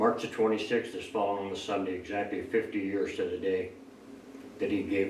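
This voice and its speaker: A man talks at a fairly quick pace amid audible room echo and noticeable background noise. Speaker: Vietnam war veteran. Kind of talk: interview testimony.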